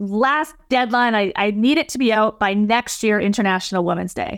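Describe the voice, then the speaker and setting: With a Canadian accent, a woman with a fairly high pitch talks at a moderate pace in a normal speaking voice. The recording is very clean, with a silent background. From British Columbia, Canada (Abbotsford, near Vancouver). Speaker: leadership consultant and speaker. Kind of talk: interview conversation.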